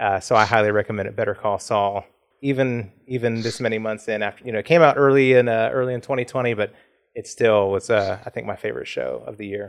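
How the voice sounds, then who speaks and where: A man at medium pitch, very fast pace and fairly even intonation. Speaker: podcast co-host. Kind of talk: casual chat.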